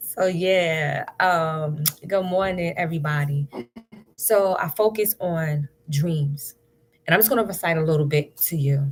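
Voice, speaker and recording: A woman speaks at a very slow pace. Her tone is upbeat. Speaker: spoken word poet. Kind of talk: casual talk to camera on a live stream.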